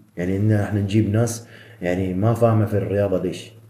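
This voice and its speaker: With a dark, mellow tone and a somewhat breathy quality, a man speaks at a fairly low pitch and a moderate pace. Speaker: professional bodybuilder. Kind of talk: casual interview. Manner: animated.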